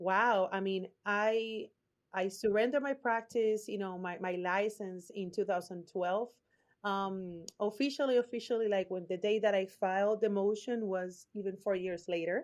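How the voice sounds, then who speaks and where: A woman's medium-pitched voice in a Puerto Rican accent, with fairly even intonation over a quiet background. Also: moderate pace. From Puerto Rico. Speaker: branding strategist, former lawyer. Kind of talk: podcast interview answer. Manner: open, authentic.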